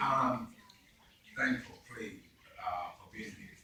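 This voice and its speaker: Fairly slow male speech with room echo and clearly audible background noise. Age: 70s. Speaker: keynote speaker. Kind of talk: speech at a ceremony. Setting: library ceremony with audience. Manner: conversational.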